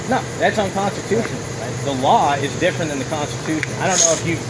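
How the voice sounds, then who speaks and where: The speaker goes at a very fast pace over noticeable background noise and audible room echo. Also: man. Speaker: driver in police stop. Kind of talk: heated argument. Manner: loud.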